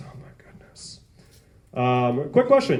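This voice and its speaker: Speaking at a fairly slow pace with an American accent, a man uses an animated tone and very wide pitch swings. Audible room echo and noticeable background noise surround him. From New York (the Bronx). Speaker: stand-up comedian. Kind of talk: stand-up. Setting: stage with audience.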